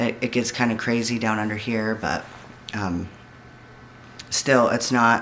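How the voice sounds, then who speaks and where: Delivered at a fairly slow pace, the speech has monotone, flat intonation and long, frequent pauses. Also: man, medium pitch for a man. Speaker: vlogger. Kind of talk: personal video diary. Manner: somewhat monotone.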